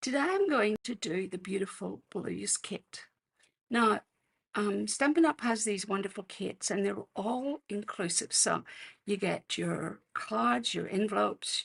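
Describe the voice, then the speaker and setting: A woman at a fairly slow pace with an Australian accent. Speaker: card-making demonstrator. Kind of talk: live craft tutorial. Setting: livestream. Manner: casual, hesitant with fillers.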